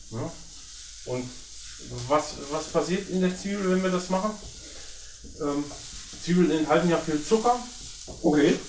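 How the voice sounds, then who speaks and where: A man's high-pitched voice at a fairly slow pace, with ordinary pitch variation, long, frequent pauses, audible room echo and noticeable background noise. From Germany, northern Hesse. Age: 50s. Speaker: professional chef. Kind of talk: casual cooking chat. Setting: home kitchen.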